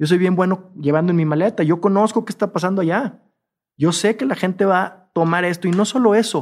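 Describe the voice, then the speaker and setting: In a Mexican accent, a man speaks fairly quickly at a high pitch with ordinary pitch variation, on a very clean recording with a silent background. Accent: Mexican Spanish (Jalisco). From Mexico, Guadalajara (Jalisco). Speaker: entrepreneur, hospitality business founder. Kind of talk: casual interview chat.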